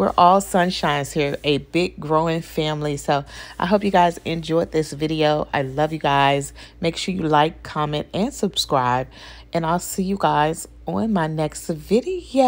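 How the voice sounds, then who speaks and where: Her voice very deep and low, a woman speaks at a fairly slow pace with ordinary pitch variation. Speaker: beauty vlogger. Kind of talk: casual vlog chat. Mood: warm and friendly. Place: bathroom. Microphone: phone near.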